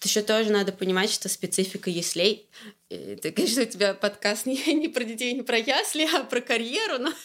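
At a fairly quick pace, a woman with a fairly high pitch speaks with lively intonation over noticeable background noise. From Russia, Orenburg region. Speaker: growth hacker, agency partner. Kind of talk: casual interview. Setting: home kitchen. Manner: hesitant, many filler sounds.

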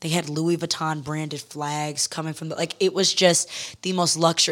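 In an unremarkable speaking voice, a woman with an American accent talks at a moderate pace and a fairly low pitch. The recording is very clean, with a silent background. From US Midwest and Texas (Detroit, then Houston). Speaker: beauty and style journalist and influencer. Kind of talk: casual interview.

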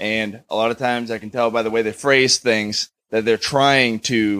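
Recorded dry and close with no echo, a man speaks in a plain, everyday voice at a medium pitch with fairly even intonation. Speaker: audience member. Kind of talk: casual chat. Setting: stage with audience.

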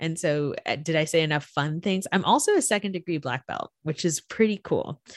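Speaking with an American accent, a woman with a fairly low pitch talks at a fairly quick pace in an animated tone with ordinary pitch variation, her sound dry and close with no echo against a quiet background. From Florida. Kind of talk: casual interview.

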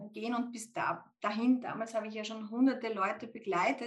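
Her voice somewhat breathy and fairly high, a woman speaks at a moderate pace with monotone, flat intonation. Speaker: IT executive recruiter and podcast guest. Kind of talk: casual interview.

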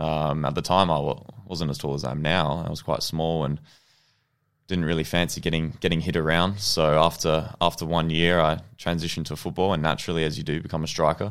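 A man with an Australian accent speaks in a very deep, low voice with flat, monotone intonation. The recording is very clean, with a silent background. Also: fairly quick pace. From Australia, childhood partly in New Zealand. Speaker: professional football goalkeeper. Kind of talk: interview.

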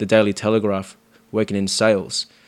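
Intonation here is monotone and flat, in an Australian accent. The recording is very clean, with a silent background. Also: man. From Sydney, Australia (Marrickville, Cabramatta). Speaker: bar manager. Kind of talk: casual chat.

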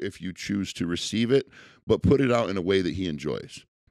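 A man with an American accent talks at a fairly quick pace, with vocal fry. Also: dry, close sound with no echo, very clean recording, silent background. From Central New York. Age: 30s. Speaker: car dealership owner. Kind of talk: casual interview.

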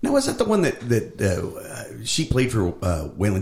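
A man speaks over noticeable background noise. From Nashville area, Tennessee. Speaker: podcast host. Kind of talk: casual chat. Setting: around a dining room table. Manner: laughs often.

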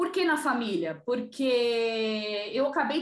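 Amid audible room echo, a woman talks at a high pitch with ordinary pitch variation. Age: 40s. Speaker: digital content specialist in family business. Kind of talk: interview.

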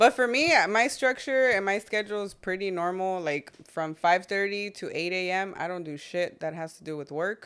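A woman with an American accent speaks in an unremarkable speaking voice at medium pitch and a moderate pace, with lively intonation and big swings in loudness. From US West Coast, Long Beach, California. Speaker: realtor. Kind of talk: casual chat. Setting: in-person studio in East LA.

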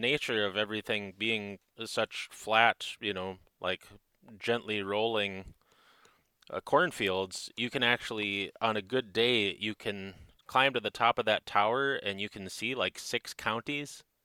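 A man with a Minnesotan accent speaks at a fairly slow pace in a fairly low, bright, sharp voice with fairly even intonation. The recording is very clean, with a silent background and a dry, close sound with no echo. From northern Minnesota. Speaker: knife maker. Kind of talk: casual chat.

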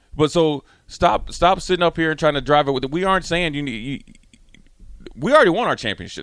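Very fast and animated, the speech has lively intonation on a very clean recording with a silent background. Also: man. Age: 40s. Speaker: former pro football player and pundit. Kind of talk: radio sports talk. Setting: studio.

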